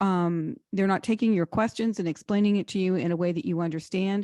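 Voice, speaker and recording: In a plain, everyday voice, a woman speaks at a medium pitch with ordinary pitch variation, dry and close with no echo, over a quiet background. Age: 60s. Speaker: financial advisor. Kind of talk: webinar Q&A answer. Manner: conversational with fillers.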